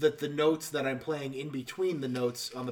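Fairly even intonation runs at a fairly quick pace, with noticeable background noise behind it. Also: man. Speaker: podcast host. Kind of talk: casual banter podcast.

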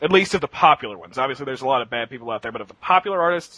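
With a bright, sharp tone and a fairly high pitch, a man speaks with lively intonation, the sound dry and close with no echo. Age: 20s. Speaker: webcomic writer, podcast panelist. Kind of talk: casual panel chat.

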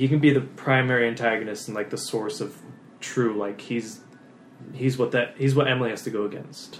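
With an American accent and an unremarkable speaking voice, a man at medium pitch moves at a fairly quick pace with fairly even intonation. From Lincoln, California. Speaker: podcast co-host. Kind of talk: casual chat.

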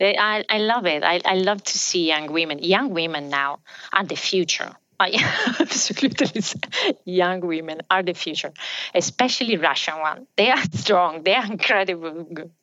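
With an Italian accent, a woman talks at a moderate pace and medium pitch, with ordinary pitch variation. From southern Italy. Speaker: business executive. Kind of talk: interview.

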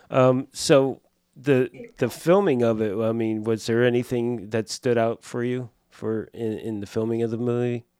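Speaking with an American accent at a moderate pace, a man uses a medium pitch, fairly even intonation and a dark, mellow tone. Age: 60s. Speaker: podcast host, prop master. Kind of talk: casual interview chat. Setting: studio.

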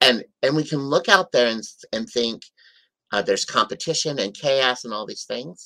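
On a very clean recording with a silent background, a man with an American accent speaks at a moderate pace and medium pitch, his bright, sharp tone carrying lively intonation. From US Midwest, South Dakota. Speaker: life coach. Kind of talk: interview.

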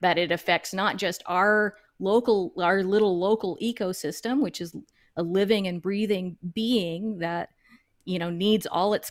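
A woman with an American accent and an ordinary speaking voice, medium in pitch, with ordinary pitch variation, a moderate pace and a very clean recording over a silent background. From US South, suburban Dallas, Texas. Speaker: backyard chicken keeper and online educator. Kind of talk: interview.

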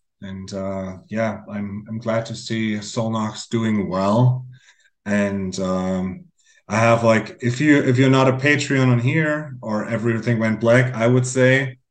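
Speaking very slowly, a man of medium pitch shows ordinary pitch variation amid audible room echo. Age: 40s. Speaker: metal musician. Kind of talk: casual chat.

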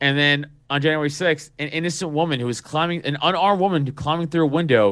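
Animated in tone, a man with an American accent talks fast at a fairly quick pace and fairly high pitch. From New York City (Staten Island). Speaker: podcaster and local party official. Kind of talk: casual political chat.

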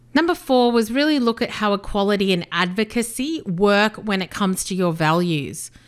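With an Australian accent, a woman talks at a moderate pace and medium pitch, her intonation lively and her speech running on with hardly any pauses. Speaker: business coach, podcast host. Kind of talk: solo podcast monologue.

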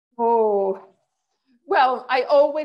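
A woman is speaking. She has an American accent. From Canada until 12, then United States. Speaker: tax accountant. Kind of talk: podcast interview. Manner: animated.

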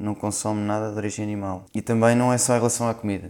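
A man talks at a fairly quick pace in a fairly low, dark and mellow voice with a flat, monotone delivery. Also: very clean recording, silent background. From Portugal, Lisbon. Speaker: nurse. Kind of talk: casual chat.

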